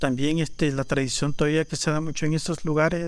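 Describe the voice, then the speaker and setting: On a very clean recording with a silent background, a man with a Salvadoran accent speaks at a fairly high pitch with fairly even intonation. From El Salvador, Panchimalco. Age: 40s. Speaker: leather artisan. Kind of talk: casual chat.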